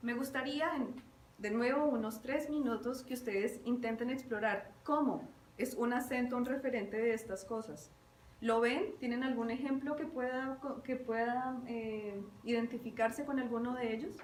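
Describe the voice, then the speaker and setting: A woman speaks at a fairly slow pace in a high voice with ordinary pitch variation, in a room with audible echo and noticeable background noise. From Bogotá, Colombia. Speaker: university lecturer. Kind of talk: lecture.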